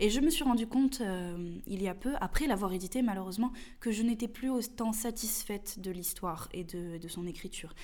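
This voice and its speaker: A woman's dark, mellow, fairly high voice in a southern French accent, at a moderate pace. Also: ordinary pitch variation. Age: young. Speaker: novelist. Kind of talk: interview.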